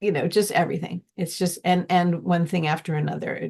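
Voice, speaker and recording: Vocal fry marks this woman's medium-pitched voice. The background is quiet. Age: 60s. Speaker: musician, gardener, former teacher. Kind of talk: interview answer.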